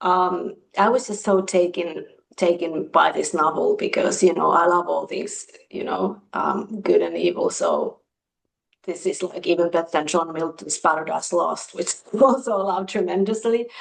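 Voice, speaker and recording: A woman with a Finnish accent at a moderate pace. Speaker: book reviewer. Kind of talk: casual chat.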